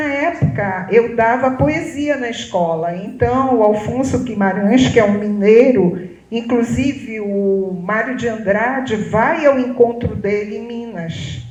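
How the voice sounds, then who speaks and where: Over noticeable background noise and audible room echo, a woman with a fairly high pitch speaks at a very slow pace with hardly any pauses, lively intonation, and big swings in loudness. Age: 70s. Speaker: photographer. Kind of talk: public talk.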